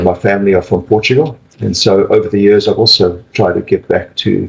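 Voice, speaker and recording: This is a man with a South African accent. He talks at a fairly quick pace. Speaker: palliative care physician and professor. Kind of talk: interview.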